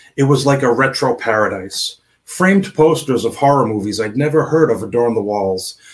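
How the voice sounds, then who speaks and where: Lively intonation colors a man's normal speaking voice. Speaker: indie author. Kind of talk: casual chat. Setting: video call.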